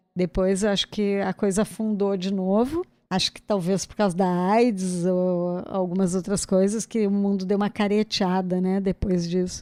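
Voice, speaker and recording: A woman with a dark, mellow tone and medium pitch talks at a moderate pace, with hardly any pauses, monotone, flat intonation and big swings in loudness. The recording is very clean with a silent background and a dry, close sound with no echo. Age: 60s. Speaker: playwright and cultural producer. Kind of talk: casual interview chat.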